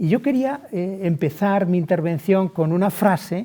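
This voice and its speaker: A man's high-pitched voice, dark and mellow in tone, at a very slow pace with ordinary pitch variation. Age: 60s. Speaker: lawyer. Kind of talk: webinar talk.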